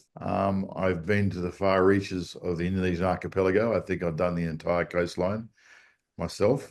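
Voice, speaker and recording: A man's very deep, low voice with an Australian accent, at a moderate pace over a quiet background. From Australia, Sydney. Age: 60s. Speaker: surf charter captain. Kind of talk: interview. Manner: hesitant with fillers.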